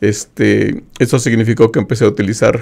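A man talks at a moderate pace in a medium pitch, with vocal fry. The background is quiet. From Mexico. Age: 50s. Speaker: retired IT professional with visual impairment; interview guest, host's father. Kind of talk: interview testimony. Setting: radio studio. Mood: calm, reflective. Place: studio. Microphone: studio mic.

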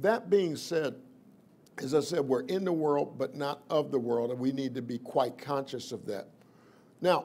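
With lively intonation, a man talks at a fairly slow pace. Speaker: preacher. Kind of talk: sermon.

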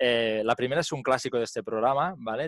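Over a quiet background, a man at a medium pitch talks fairly quickly, the sound dry with no echo. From Spain. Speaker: podcast host. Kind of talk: casual chat. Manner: animated. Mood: friendly, animated. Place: home room. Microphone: headset.

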